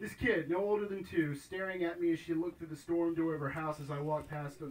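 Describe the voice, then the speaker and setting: A man speaks at a very fast pace with a fairly high pitch and ordinary pitch variation. Noticeable background noise is present. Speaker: poet and author. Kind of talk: live prose reading. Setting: live venue.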